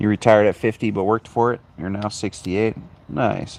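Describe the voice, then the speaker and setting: A man has an ordinary speaking voice with an American accent and a fairly low pitch. He talks at a fairly quick pace with fairly even intonation. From Arizona. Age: 40s. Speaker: livestreamer. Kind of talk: casual chat. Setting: outdoors. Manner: relaxed.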